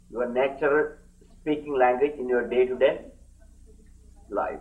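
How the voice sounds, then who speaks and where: Audible room echo surrounds a man who speaks fairly slowly with a Keralan accent and fairly even intonation. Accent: Indian (Malayali) English. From India, Kerala. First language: Malayalam. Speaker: yoga teacher, swami. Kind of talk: lecture. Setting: camp lecture hall with live translators.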